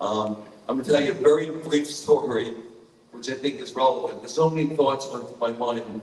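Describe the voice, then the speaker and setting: Someone with a New York accent talks at a moderate pace against noticeable background noise. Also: man. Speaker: psychologist and army veteran. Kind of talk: speech at live event.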